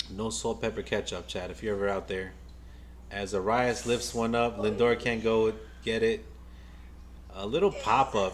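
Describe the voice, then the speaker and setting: Long, frequent pauses break up this man's moderate pace. He speaks with a New York accent. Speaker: baseball fan streamer, nurse by day. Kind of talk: live game watch-along commentary. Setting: live stream. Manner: casual, repetitive stammering.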